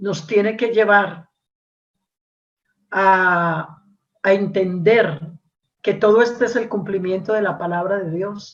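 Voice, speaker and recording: A woman speaks at a very slow pace with long, frequent pauses. Her medium pitch carries fairly even intonation. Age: 60s. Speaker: preacher. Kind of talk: sermon. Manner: repetitive, with fillers and hesitations.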